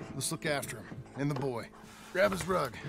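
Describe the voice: Putting on a character voice over faint background music, a man speaks at a moderate pace with a fairly high pitch, fairly bright tone, lively intonation and vocal fry.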